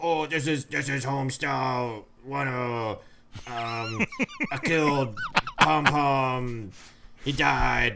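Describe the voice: A man does a gravelly, put-on character voice at a medium pitch and a very slow pace.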